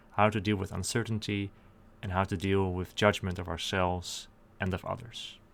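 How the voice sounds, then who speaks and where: On a very clean recording with a silent background, a man with a Dutch accent speaks at a moderate pace, his fairly low voice kept to fairly even intonation. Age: 20s. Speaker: YouTuber. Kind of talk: scripted monologue.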